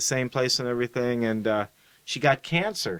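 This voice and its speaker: Here a man speaks at a medium pitch with fairly even intonation. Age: 50s. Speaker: podcast host. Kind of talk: interview conversation. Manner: halting, with many fillers and repetitions.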